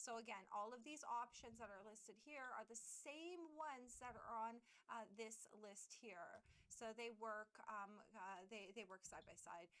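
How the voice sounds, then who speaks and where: Over noticeable background noise, a woman talks in a fairly high voice. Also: ordinary pitch variation, fairly slow pace. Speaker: streamer. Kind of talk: tutorial. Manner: loud; halting.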